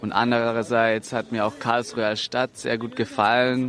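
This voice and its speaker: A man at a moderate pace, medium in pitch, with monotone, flat intonation and noticeable background noise. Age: 20s. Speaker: engineering student. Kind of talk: interview.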